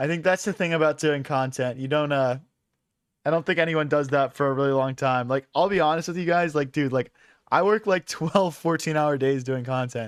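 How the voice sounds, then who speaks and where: Over a quiet background, a man with an American accent and a plain, everyday voice talks at a fairly quick pace in a fairly high pitch with ordinary pitch variation. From US Northeast, Philadelphia. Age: 20s. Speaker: chess streamer. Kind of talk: live stream commentary. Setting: live stream. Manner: casual, filler-heavy.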